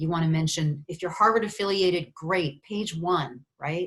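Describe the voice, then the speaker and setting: At a moderate pace, a woman with a plain, everyday voice speaks in a fairly low pitch with fairly even intonation. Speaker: university research funding advisor. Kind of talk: webinar presentation. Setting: video conference.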